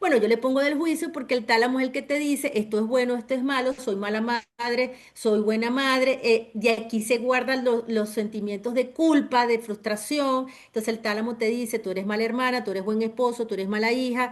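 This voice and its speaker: With hardly any pauses, a woman talks at a fairly quick pace in a high pitch, keeping her intonation fairly even. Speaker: trauma therapist. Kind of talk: webinar lecture.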